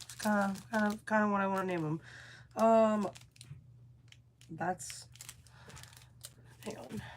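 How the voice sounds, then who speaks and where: Animated in tone and somewhat breathy, a woman at a fairly high pitch speaks at a moderate pace with ordinary pitch variation. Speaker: burlesque performer and vlogger. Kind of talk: casual vlog chat.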